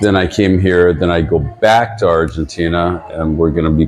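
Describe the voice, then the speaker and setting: Over noticeable background noise, a man speaks at a fairly slow pace with a very deep, low pitch. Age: 70s. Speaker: touring blues musician. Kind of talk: interview. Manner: halting.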